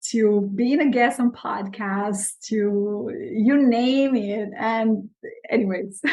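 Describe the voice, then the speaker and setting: Ordinary pitch variation marks this voice with a non-native accent. The pace is very slow. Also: woman, fairly high pitch for a woman. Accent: noticeable foreign. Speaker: real estate investor and business consultant. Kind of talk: podcast interview. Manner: animated.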